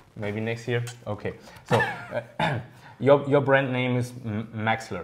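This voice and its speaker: A man talks at a fairly slow pace with fairly even intonation. There is noticeable background noise. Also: medium pitch for a man. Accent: German. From Germany. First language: German. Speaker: RC hobby video host. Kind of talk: casual interview. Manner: halting.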